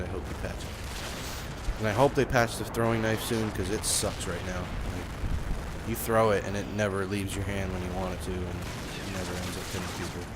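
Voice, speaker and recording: Over noticeable background noise and audible room echo, a man mumbles at a moderate pace with hardly any pauses and fairly even intonation. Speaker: gaming youtuber. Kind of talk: gameplay commentary. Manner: mumbling, rambling; casual, filler-heavy.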